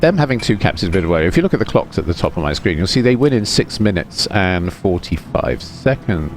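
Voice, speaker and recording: A man's fairly low voice in a British accent, fairly quick, with very wide pitch swings and music in the background. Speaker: gaming commentator. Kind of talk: gameplay commentary. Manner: soft, soothing.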